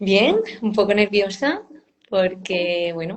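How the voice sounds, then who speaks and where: Speaking fairly slowly, a woman keeps a monotone, flat intonation. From Murcia, Spain. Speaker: clinical psychologist and university lecturer. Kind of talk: live stream interview.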